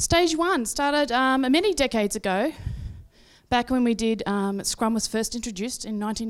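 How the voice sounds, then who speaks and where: With an Australian accent, a woman speaks at a fairly quick pace in a fairly high pitch with lively intonation. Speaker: agile coach and consultant. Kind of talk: conference talk.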